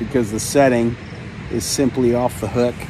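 A man talks at a moderate pace. There is noticeable background noise, and the sound is dry with no echo. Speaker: pilot vlogger. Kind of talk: casual vlog chat. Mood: relaxed, content. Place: open country. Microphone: phone near.

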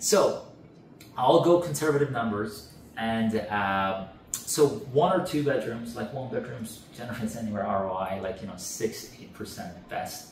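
With light background noise and audible room echo, a man speaks at a fairly slow pace, his intonation lively and his loudness swinging widely. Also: medium pitch for a man. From Canada. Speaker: real estate rental expert. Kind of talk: interview. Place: home room.

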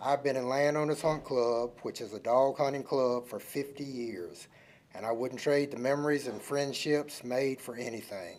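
This man talks at a moderate pace with a medium pitch and fairly even intonation. He has a Virginia accent. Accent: Southern US, rural Virginia. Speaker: public commenter, hunter. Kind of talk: prepared public comment. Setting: county board meeting room.

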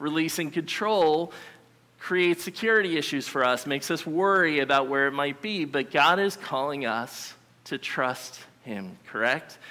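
At a medium speed, a man's voice comes across bright and sharp. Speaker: preacher. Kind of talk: sermon. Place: church.

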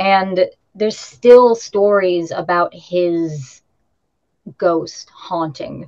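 At a very slow pace with long, frequent pauses, a woman speaks in a medium pitch against a quiet background. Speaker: witch, tour guide and tarot reader; tour guide, tarot reader. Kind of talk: casual interview. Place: home room. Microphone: video call.

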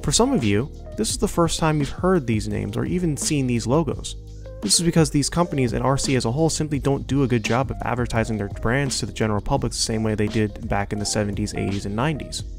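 A man speaks very fast. Background music plays behind him. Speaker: RC racing hobbyist. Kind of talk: commentary voice-over.

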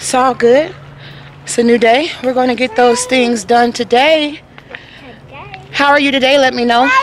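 Over light background noise, a woman with a high pitch talks at a moderate pace with fairly even intonation, the sound dry with no echo. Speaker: family vlogger. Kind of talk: casual vlog chat. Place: street. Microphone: phone near.

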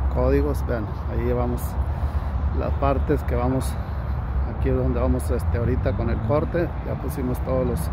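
A man talks at a moderate pace. Loud background noise surrounds his voice, and the sound is dry with no echo. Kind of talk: casual explanatory vlog chat. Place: street. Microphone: phone near.

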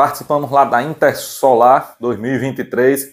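A man speaks in an excited, animated tone. The background is quiet. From Brazil. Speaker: channel host and seller. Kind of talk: sales pitch. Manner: excited, animated, shouting prices and deals. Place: workshop. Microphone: lapel.

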